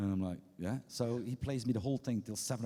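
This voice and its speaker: A man with a dark, mellow tone talks at a very fast pace. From Belgium. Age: old. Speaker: record label founder. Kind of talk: on-stage keynote interview. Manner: halting, many restarts.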